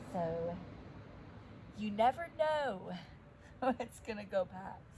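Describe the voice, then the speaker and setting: Very wide pitch swings mark a woman's medium-pitched voice as she talks at a very slow pace amid noticeable background noise. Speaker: yoga teacher. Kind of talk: guided yoga class. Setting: outdoors in her yard. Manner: loud. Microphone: no microphone, volume poor.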